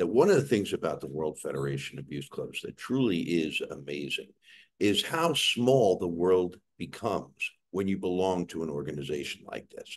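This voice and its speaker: A man with a New York accent and big swings in loudness. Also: moderate pace. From New York City. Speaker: webcast host, former diplomat. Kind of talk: hosting an online event.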